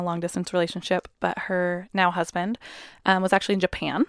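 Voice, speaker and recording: A woman's monotone, flat voice at a medium pitch, with a West Coast accent, in a very clean recording with a silent background and a dry, close sound with no echo. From US Pacific Northwest (Puyallup, Washington). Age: 20s. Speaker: high school teacher and mother. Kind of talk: personal testimony in interview.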